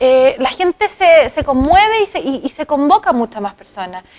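A woman's high-pitched voice at a moderate pace. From Chile, San Antonio; Chile. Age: young. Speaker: parliamentary candidate; candidate. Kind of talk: TV interview. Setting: TV studio. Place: studio. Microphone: lapel.

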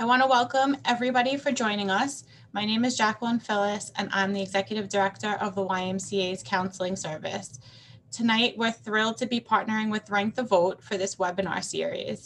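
A woman speaks with ordinary pitch variation. Light background noise is present. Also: fairly quick pace. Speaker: nonprofit director hosting webinar. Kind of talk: webinar welcome remarks. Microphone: webcam.

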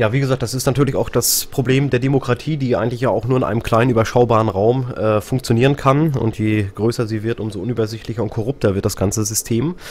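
Talking at a very fast pace with hardly any pauses, a man keeps his intonation fairly even over noticeable background noise. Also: medium pitch for a man. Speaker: radio host. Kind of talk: live radio talk show moderation. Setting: live stream and radio broadcast.

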